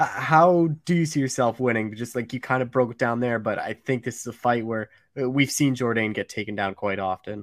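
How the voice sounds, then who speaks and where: In a very clean, dry and close recording with a silent background and no echo, a man with a normal speaking voice talks at a medium pitch and moderate pace, with ordinary pitch variation and hardly any pauses. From Canada. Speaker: MMA podcast host. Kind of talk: interview; scripted intro.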